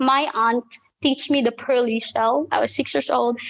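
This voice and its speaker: A high-pitched woman's voice with a Filipino accent, at a moderate pace and with ordinary pitch variation. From Philippines. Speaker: ballet teacher. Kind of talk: interview answer.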